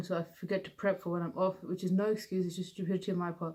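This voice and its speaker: Mumbling at a very fast pace, a woman with a British accent speaks in a monotone, flat delivery at a medium pitch. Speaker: vlogger with Parkinson's. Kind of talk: personal vlog. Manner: slurred.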